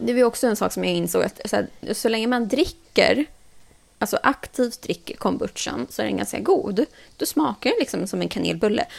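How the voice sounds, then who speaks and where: In a very clean recording over a silent background, a woman talks at a moderate pace. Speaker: podcast host. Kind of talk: casual chat.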